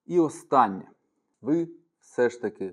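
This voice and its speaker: A man speaks at a very slow pace with lively intonation. The background stays quiet. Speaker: self-defense instructor. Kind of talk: educational talk to camera.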